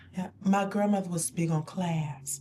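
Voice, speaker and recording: A woman speaks in a fairly low, somewhat breathy voice. Her tone is dark and mellow, with ordinary pitch variation. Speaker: talk show co-host. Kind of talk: casual chat.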